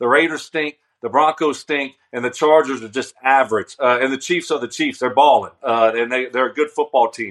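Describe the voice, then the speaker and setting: In a normal speaking voice with an American accent, a man of medium pitch talks at a moderate pace with hardly any pauses and ordinary pitch variation, the sound dry and close with no echo over a quiet background. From US South, Louisiana. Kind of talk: casual sports talk interview.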